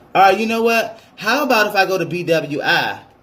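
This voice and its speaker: There is audible room echo as a man speaks in an animated tone. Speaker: travel vlogger. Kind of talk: tutorial. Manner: fast; casual, animated.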